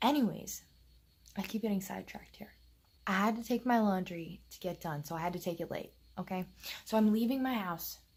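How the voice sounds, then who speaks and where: A somewhat breathy woman's voice with big swings in loudness and long, frequent pauses. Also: medium pitch for a woman, ordinary pitch variation, fairly quick pace. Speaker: vlogger. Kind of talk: casual chat. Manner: soft-spoken.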